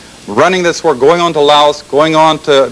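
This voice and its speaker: Through noticeable background noise, a man's fairly high voice moves at a fairly quick pace. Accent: American. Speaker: former intelligence officer, public speaker. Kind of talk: public lecture. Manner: fast.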